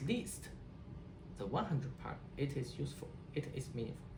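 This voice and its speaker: Someone with a Chinese accent speaks at a moderate pace. Noticeable background noise and audible room echo fill the recording. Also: man. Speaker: HCI researcher. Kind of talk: interview. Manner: halting, many repetitions and restarts.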